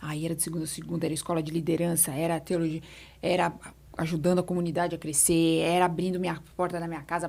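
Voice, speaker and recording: Speaking at a very fast pace, a woman holds a fairly low pitch in a monotone, flat intonation. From São Paulo, Brazil. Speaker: etiquette mentor. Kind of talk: podcast interview answer.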